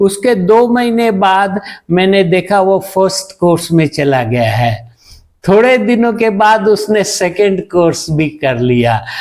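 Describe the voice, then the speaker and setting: A man speaks at a high pitch with lively intonation. His loudness stays very even. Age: 70s. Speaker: doctor. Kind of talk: interview testimony.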